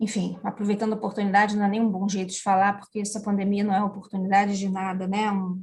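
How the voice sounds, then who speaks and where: A woman's medium-pitched voice at a very fast pace, monotone and flat, with hardly any pauses. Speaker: education manager. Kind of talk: interview. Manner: talkative.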